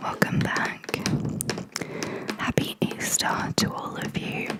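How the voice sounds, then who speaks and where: At a very slow pace, a woman whispers against noticeable background noise. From Australia. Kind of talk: ASMR painting video, casual talk to camera. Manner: whispered.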